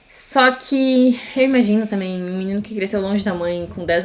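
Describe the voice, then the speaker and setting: A woman of medium pitch talks at a moderate pace. Her pitch varies in an ordinary way. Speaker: podcast co-host, former au pair. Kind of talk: casual chat. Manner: animated.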